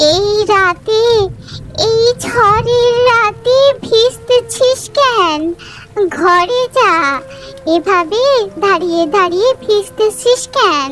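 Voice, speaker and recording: A woman does a cartoonish character voice at an extremely high pitch with lively intonation, speaking very slowly. Clear music plays in the background. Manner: warm, motherly.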